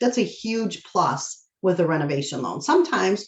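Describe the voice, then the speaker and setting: A woman talks at a fairly quick pace in an animated tone, with vocal fry and very wide pitch swings. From Michigan. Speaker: mortgage loan officer. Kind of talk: presentation to real estate agents. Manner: fast.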